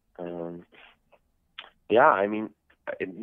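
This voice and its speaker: At a moderate pace, a man with an American accent speaks in a very deep, low pitch and fairly even intonation. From New Jersey, US, then Israel from age 11. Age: young. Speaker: baseball player and soldier. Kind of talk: interview. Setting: phone call. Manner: hesitant, many fillers.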